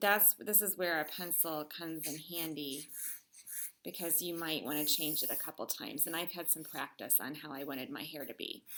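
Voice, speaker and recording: The tone is bright and sharp, with ordinary pitch variation. Speech moves at a fairly quick pace. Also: woman, very deep, low pitch for a woman. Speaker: elementary art teacher. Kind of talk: tutorial.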